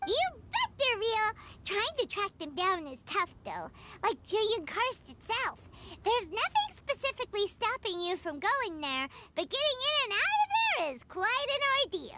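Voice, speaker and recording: In a put-on character voice, the speaker talks at a moderate pace with extremely high pitch. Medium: video game. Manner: bubbly, enthusiastic.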